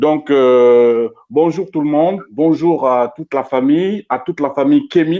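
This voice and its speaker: In a French accent, a man is talking. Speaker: interviewer, cultural activist. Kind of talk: live interview introduction. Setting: online live stream. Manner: halting, many repetitions.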